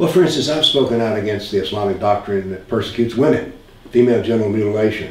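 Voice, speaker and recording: With an American accent, a man with a medium-pitched voice talks at a very fast pace and ordinary pitch variation. Noticeable background noise and audible room echo come through. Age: 70s. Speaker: author and former physics professor. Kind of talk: interview.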